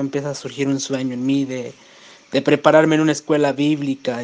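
A man's fairly high voice runs in a monotone, flat intonation. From Mexico, San Luis Potosí. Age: 30s. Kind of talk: testimony.

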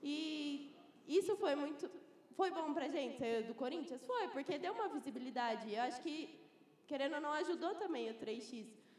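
Over noticeable background noise, a woman speaks in a high pitch with lively intonation. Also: moderate pace. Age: 20s. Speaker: 3x3 basketball player and student. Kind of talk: panel discussion. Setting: live event with audience.

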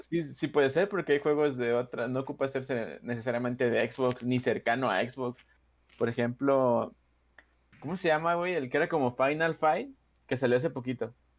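Over a silent background in a very clean recording, a man with a plain, everyday voice talks at a moderate pace in a medium pitch with ordinary pitch variation. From Mexico. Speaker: podcast co-host. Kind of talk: casual chat.

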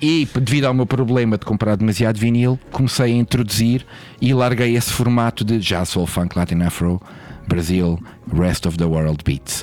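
A man with an ordinary speaking voice, medium pitch and lively intonation, at a moderate pace and very even loudness. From Portugal, Lisbon. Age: 40s. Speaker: DJ and record label owner. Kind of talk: casual interview.

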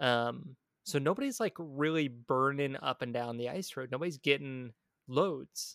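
A man at a fairly high pitch and fairly slow pace, with ordinary pitch variation and a dry, close sound with no echo. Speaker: podcast host. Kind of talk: casual chat. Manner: animated.

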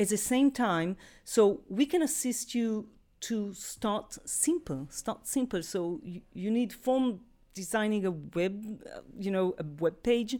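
Over a silent background on a very clean recording, a woman with a dark, mellow tone speaks very slowly, her intonation lively. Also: fairly high pitch for a woman. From Israel. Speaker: cloud solutions architect. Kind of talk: interview. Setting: studio.

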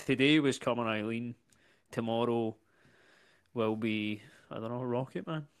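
A man with a Scottish accent at a medium pitch, moderate pace and fairly even intonation, with long, frequent pauses, in a very clean recording with a silent background. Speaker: comedian. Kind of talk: casual chat.

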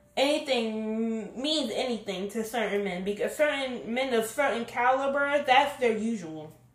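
At a fairly slow pace, a woman speaks at a high pitch with ordinary pitch variation amid audible room echo. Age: 20s. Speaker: podcast host. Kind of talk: casual commentary monologue.

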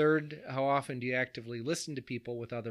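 A man with a plain, everyday voice, medium pitch, fairly even intonation and a fairly quick pace. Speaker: podcast host and pastor.

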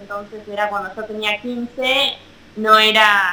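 Flat and monotone in intonation, a woman talks in a fairly high voice. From Argentina. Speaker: professional mountain bike racer. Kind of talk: interview. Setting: video call.

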